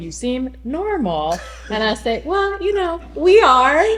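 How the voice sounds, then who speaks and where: Noticeable background noise behind a voice with an American accent. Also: woman. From US South. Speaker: recovering alcoholic. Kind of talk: testimony. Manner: halting.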